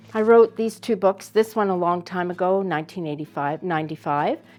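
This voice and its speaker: With music in the background, a woman at a fairly low pitch speaks with lively intonation. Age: 60s. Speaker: homesteader. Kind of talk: casual chat.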